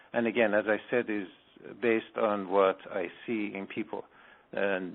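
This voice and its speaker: A man with an Iranian accent speaks at a fairly slow pace. His pitch is fairly low and his intonation fairly even. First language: Farsi. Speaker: spiritual healer. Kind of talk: radio interview.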